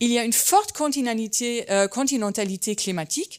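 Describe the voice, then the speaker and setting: At a moderate pace, a woman with a slight German accent speaks in a fairly high pitch on a very clean recording with a silent background. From Germany, German-Turkish family. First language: German (speaking French). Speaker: landscape architect and geographer. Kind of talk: conference talk. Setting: conference hall with audience. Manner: hesitant, many fillers.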